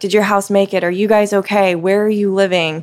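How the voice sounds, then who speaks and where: A woman with an American accent has an unremarkable speaking voice, medium in pitch, with fairly even intonation. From US South, Mississippi Gulf Coast. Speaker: TV meteorologist. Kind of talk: interview conversation. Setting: coffee shop after hours.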